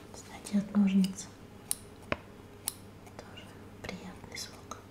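A woman whispers at a very slow pace. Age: 30s. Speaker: ASMR and beauty blogger. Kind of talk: ASMR cosmetics haul, casual talk to camera. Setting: close mic, studio-like. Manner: muffled, quiet. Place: home room.

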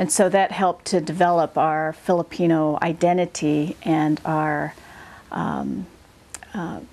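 Speaking with an American accent, a woman has a very deep, low pitch and fairly even intonation. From Seattle, United States. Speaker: community activist. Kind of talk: oral history interview answer. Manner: hesitant, many filler words. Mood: calm, reflective. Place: home room.

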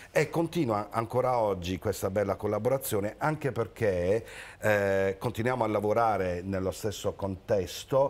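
In a plain, everyday voice, a man speaks at a fairly low pitch and moderate pace with ordinary pitch variation and very even loudness, on a very clean recording with a silent background. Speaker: theatre association president. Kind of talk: casual chat. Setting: studio.

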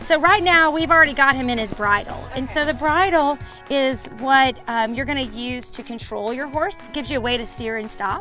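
A woman's raised, projected voice over clear background music, the sound dry with no echo. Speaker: guest. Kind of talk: tutorial. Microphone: lapel.

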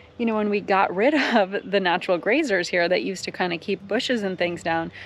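Faint music plays in the background of a dry recording with no echo. A woman talks at a fairly quick pace with ordinary pitch variation. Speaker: nature vlogger. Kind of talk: casual vlog chat. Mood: enthusiastic, excited. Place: open country. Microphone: phone near.

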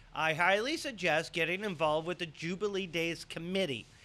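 The man's pitch varies in an ordinary way. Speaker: local show host. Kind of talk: casual news show chat. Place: studio. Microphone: studio mic.

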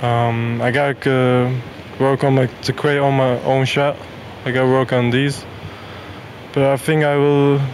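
A man speaks at a fairly slow pace in a monotone, flat intonation over light background noise. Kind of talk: interview answer. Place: hall. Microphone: handheld.

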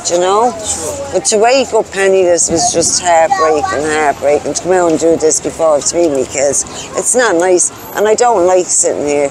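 Very even loudness from a woman of fairly low pitch, dry with no echo, crowd noise in the background. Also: ordinary pitch variation, moderate pace. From Ireland, Dublin (Clondalkin); Dublin. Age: 40s. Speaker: person in recovery from addiction, homeless; interviewee. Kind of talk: testimony. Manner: halting. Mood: sad, grieving. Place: street. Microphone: lapel.

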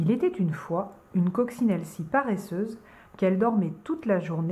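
The clip is plain reading aloud, its pitch varying in an ordinary way.

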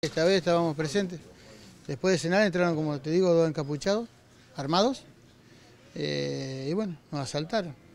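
A man talks at a moderate pace with ordinary pitch variation, leaving long, frequent pauses. The sound is dry with no echo, over light background noise. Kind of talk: interview answer. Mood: shaken but calm. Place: shop. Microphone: handheld.

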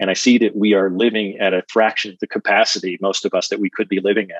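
With a dry sound and no echo, a man talks at a very fast pace in a monotone, flat intonation over a quiet background. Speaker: coach, interview guest. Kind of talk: interview answer. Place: home room. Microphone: earbuds.

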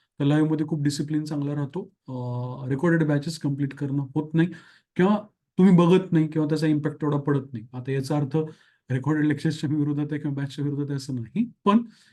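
A man's fairly high, dark and mellow voice with fairly even intonation, against a quiet background. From Marathwada, Maharashtra (Dharashiv). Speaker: exam coaching teacher. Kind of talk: course announcement.

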